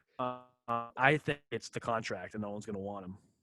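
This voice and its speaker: Music plays behind a man whose medium pitch shows ordinary variation, the sound dry and close with no echo. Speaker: sports podcast co-host. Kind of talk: casual chat.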